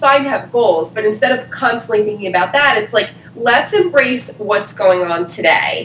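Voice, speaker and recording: A woman with an American accent and a fairly high pitch speaks with lively intonation. There is noticeable background noise. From New Jersey, US. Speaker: PR expert. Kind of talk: interview. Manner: casual, slangy.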